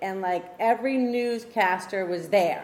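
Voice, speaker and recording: At a fairly slow pace, a woman speaks with ordinary pitch variation against noticeable background noise. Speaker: auctioneer. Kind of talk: casual talk to an audience about the auction business.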